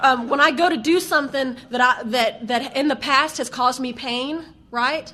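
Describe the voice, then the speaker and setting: A woman's raised, projected voice in a strong Southern US accent, high-pitched and animated, at a moderate pace over noticeable background noise. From US South. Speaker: AA speaker. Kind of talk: recovery testimony. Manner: animated, conversational with fillers.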